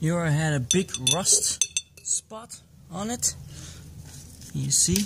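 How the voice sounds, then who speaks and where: With a non-native accent, the speaker goes at a very slow pace with long, frequent pauses over noticeable background noise. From Belgium. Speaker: motorcycle hobbyist YouTuber. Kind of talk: DIY tutorial. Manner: halting, many fillers.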